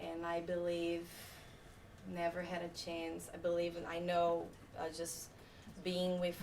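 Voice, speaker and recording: In a room with audible echo, a woman with a non-native accent speaks at a very slow pace in a fairly low pitch. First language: not English. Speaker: photographer. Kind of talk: talk to a live audience. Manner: hesitant, many fillers.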